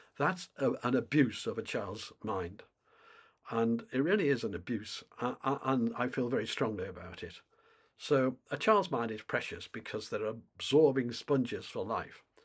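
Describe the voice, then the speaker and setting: A man with a British accent talks at a moderate pace and medium pitch, with lively intonation. The recording is very clean, with a silent background. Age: 70s. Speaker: climate commentator. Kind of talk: monologue to camera. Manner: halting.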